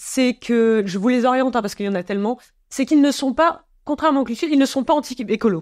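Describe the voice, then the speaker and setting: Over a quiet background, a woman with a high voice talks at a fairly quick pace using lively intonation. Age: 30s. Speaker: climate communication researcher. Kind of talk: casual interview. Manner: hesitant with many fillers.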